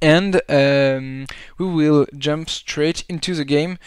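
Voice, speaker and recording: A man speaks very slowly with a French accent. His pitch varies in an ordinary way. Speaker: esports caster. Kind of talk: live game commentary. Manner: halting.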